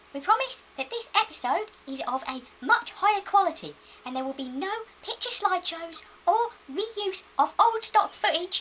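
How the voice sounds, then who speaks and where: Using a squeaky, put-on character voice, a woman speaks at an extremely high pitch with very wide pitch swings and big swings in loudness. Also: moderate pace. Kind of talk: political speech. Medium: comedy sketch.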